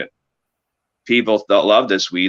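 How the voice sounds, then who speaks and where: In a Canadian accent, a man speaks fairly quickly with a fairly low pitch. His tone is bright and sharp. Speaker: cannabis breeder. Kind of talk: casual interview chat. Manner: halting, searching for words.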